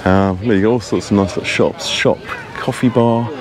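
Over noticeable background noise, a man with a fairly low pitch speaks at a moderate pace with ordinary pitch variation, the sound dry and without echo. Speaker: travel vlogger. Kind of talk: casual vlog chat. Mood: relaxed, cheerful. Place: street. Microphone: phone near.

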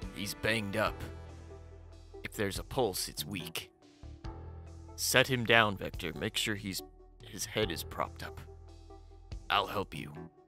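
Using a put-on character voice, a man speaks at a fairly low pitch and a fairly slow pace, leaving long, frequent pauses while clear music plays in the background. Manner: surly, sarcastic.

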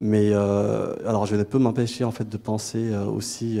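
The man's voice has a dark, mellow tone. He speaks at a fairly slow pace with monotone, flat intonation. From Chad, Sahara border. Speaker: master's student; debate moderator. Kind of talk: audience question. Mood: emotional, reflective. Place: hall.

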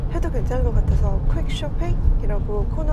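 A woman speaks over loud background noise. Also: dry sound with no echo. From Korean-Chinese community, Yanbian. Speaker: working mother, YouTuber. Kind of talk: casual talk to camera. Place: car. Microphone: phone near.

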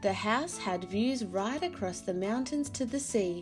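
Lively intonation marks this plain reading aloud.

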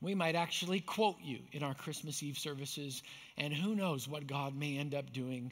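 Speaking at a fairly slow pace, a man's pitch moves with ordinary variation. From Canada, Manitoba. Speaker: pastor. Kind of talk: sermon. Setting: church. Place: stage.

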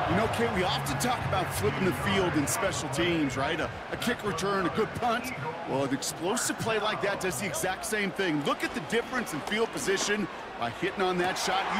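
A man with a high pitch talks at a fairly quick pace with lively intonation and very even loudness, amid noticeable background noise. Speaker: color analyst. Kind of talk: live sports commentary, analyst breakdown. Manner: conversational, explanatory.

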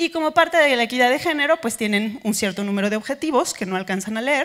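A woman talks at a fairly quick pace, and the background is quiet. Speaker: conference speaker. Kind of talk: lecture. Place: hall. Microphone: handheld.

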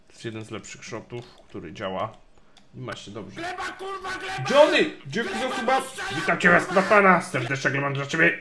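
There are big swings in loudness as a man talks at a fairly quick pace. Noticeable background noise runs underneath. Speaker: game streamer. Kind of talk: casual gameplay commentary. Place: home room. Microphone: studio mic.

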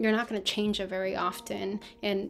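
Light background noise is audible. Over it, a woman talks. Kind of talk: tutorial. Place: home room. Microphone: webcam.

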